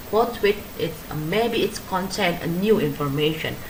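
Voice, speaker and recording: A woman with lively intonation at a fairly slow pace, with noticeable background noise and audible room echo. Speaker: graduate student. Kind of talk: academic paper presentation. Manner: halting, many fillers.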